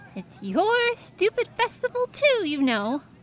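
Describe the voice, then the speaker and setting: Using a put-on character voice, a woman speaks in an extremely high, squeaky pitch with very wide swings, at a fairly slow pace. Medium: audio drama. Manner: cool, dry.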